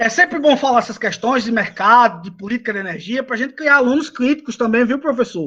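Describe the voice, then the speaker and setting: A man uses a raised, projected voice at an extremely high pitch with a bright, sharp tone. He talks at a fairly quick pace with ordinary pitch variation. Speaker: lecturer on renewable energy; engineer, doctorate holder. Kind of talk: lecture. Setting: video call from home balcony. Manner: fast.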